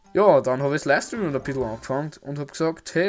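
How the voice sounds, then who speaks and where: A man with an Austrian accent speaks in a fairly high pitch. His pitch rises and falls in an ordinary way. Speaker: YouTuber. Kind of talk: casual channel recap.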